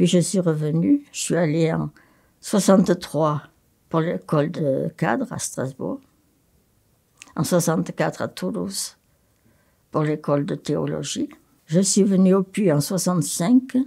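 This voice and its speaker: A woman's fairly low, dark, mellow voice with vocal fry, ordinary pitch variation, a fairly slow pace and long, frequent pauses. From France, Haute-Loire. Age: 80s+. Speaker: nun and retired psychiatric nurse. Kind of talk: testimony.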